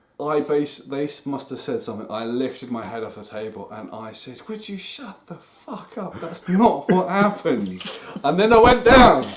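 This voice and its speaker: At a moderate pace and fairly high pitch, a man's voice makes very wide pitch swings and big jumps in loudness, with audible room echo and noticeable background noise. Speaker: podcast co-host. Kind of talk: casual chat. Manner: animated.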